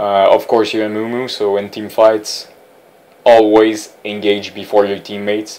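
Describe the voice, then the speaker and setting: A man with a non-native accent speaks at a fairly low pitch. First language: not English. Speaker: gaming tutorial creator. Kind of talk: gameplay commentary tutorial. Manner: halting with fillers and repetitions.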